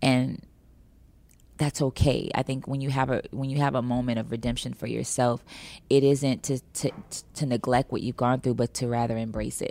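In a very clean recording with a silent background, a woman with an American accent speaks at a moderate pace with a very deep, low pitch, a dark, mellow tone and monotone, flat intonation. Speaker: singer. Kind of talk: interview. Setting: studio.

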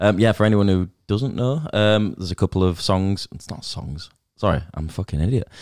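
At a fairly quick pace, a man with a fairly low pitch talks in a normal speaking voice with ordinary pitch variation and big swings in loudness. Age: 30s. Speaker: podcast host. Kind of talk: casual interview chat. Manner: jokey, self-deprecating, swears.

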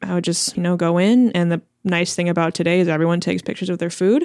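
An unremarkable speaking voice with an American accent, at a fairly quick pace. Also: woman. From Chicago, US Midwest. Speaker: food journalist. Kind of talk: casual interview.

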